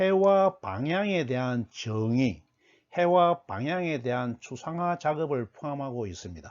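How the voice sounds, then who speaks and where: Very slowly, a man talks at a fairly high pitch, his pitch swinging very widely. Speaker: lecturer. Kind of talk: lecture. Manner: formal.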